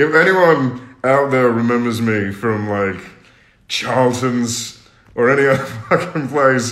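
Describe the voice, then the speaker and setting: A man speaking at a very slow pace, with ordinary pitch variation and audible room echo. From Australia. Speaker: singer, talent show contestant. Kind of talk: casual livestream chat. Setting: social media live stream. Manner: laughs a lot, animated. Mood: cheerful, relaxed. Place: home room. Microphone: phone near.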